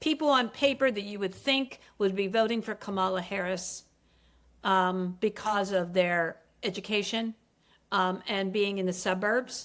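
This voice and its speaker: With an American accent and an ordinary speaking voice, a woman talks at medium pitch with ordinary pitch variation in a very clean recording with a silent background. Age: 60s. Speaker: political reporter and author. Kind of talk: interview conversation. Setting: podcast studio.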